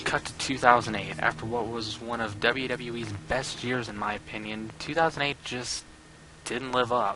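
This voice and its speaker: With music in the background, a man at medium pitch speaks at a moderate pace with fairly even intonation. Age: young. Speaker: wrestling reviewer. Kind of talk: casual talk to camera, show promo. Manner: joking, casual.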